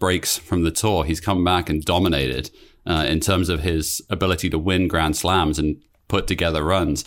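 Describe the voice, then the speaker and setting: A man with a British accent speaks at a moderate pace on a very clean recording with a silent background. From Britain. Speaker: podcast co-host. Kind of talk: casual chat.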